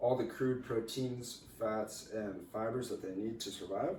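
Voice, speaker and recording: Over noticeable background noise, a man speaks fairly slowly at a medium pitch with fairly even intonation. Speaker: university student. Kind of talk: class presentation.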